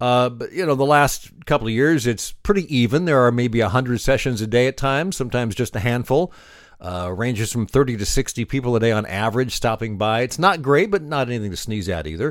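Speaking with hardly any pauses, a man with a normal speaking voice uses lively intonation at a fairly quick pace and medium pitch, on a very clean recording with a silent background. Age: 60s. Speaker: trade show marketing podcaster and blogger. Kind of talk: solo video podcast monologue. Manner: casual, with frequent filler uhs.

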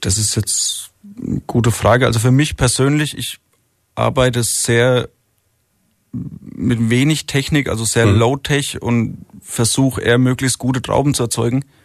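At a fairly slow pace with long, frequent pauses, a man of medium pitch talks with fairly even intonation. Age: 30s. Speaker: winemaker. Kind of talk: radio interview.

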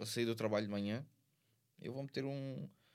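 A man talks at a fairly quick pace. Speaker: rapper. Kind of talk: casual chat.

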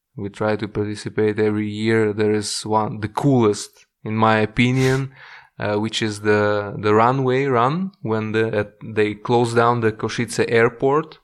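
Speaking with a Russian accent, a man talks at a fairly slow pace. The recording is very clean, with a silent background. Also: fairly low pitch for a man, fairly even intonation. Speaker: expat professional. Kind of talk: casual interview. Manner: hesitant, many fillers.

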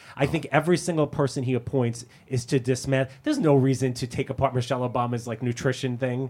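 Somewhat breathy, a man at medium pitch talks at a very fast pace. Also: fairly even intonation, hardly any pauses. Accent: American. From US, Brooklyn, New York. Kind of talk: casual chat.

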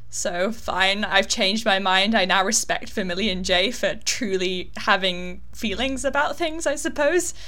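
A woman with a British accent and a bright, sharp tone speaks at a fairly slow pace with hardly any pauses, medium pitch, lively intonation and very even loudness. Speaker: podcast co-host. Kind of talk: casual chat. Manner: teasing, dry humor.

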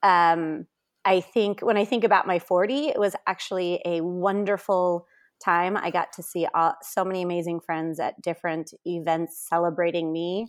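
Speaking at a moderate pace with fairly even intonation, this is a normal speaking voice. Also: woman, fairly low pitch for a woman. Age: 40s. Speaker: middle school principal and gun safety advocate. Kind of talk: interview.

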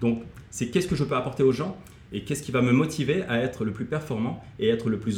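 Somewhat breathy and lively in intonation, a man talks at a fairly quick pace. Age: 40s. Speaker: motivational coach and former kung fu athlete. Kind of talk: casual interview.

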